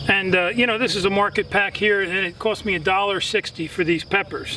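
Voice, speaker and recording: A man's raised, projected voice, high-pitched and fairly quick, over noticeable background noise. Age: 60s. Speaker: gardening channel host. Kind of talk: tutorial. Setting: outdoors. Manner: casual, filler-heavy.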